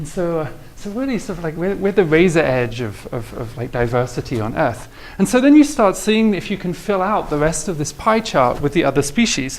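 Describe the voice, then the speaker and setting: Amid noticeable background noise and audible room echo, a man speaks at a fairly quick pace in a fairly high voice with very wide pitch swings. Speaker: mathematics professor. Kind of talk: lecture. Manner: halting, many repetitions; tapers down in volume when excited.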